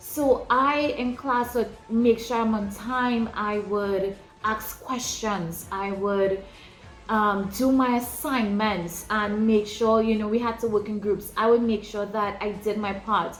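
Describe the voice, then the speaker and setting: A woman speaks very slowly at a fairly high pitch with fairly even intonation. Music plays in the background, and room echo is audible. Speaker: ministry leader. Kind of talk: teaching talk.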